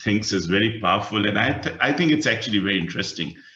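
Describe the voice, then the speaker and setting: A man's lively, up-and-down delivery in a bright, sharp tone, with audible echo from the room. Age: 60s. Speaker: workshop facilitator. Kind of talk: webinar talk. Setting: video call. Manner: hesitant, many fillers.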